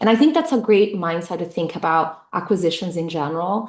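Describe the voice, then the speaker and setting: This woman talks at a medium pitch with a Portuguese accent. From Brazil. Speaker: tech executive. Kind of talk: interview. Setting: fireside chat event. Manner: hesitant fillers.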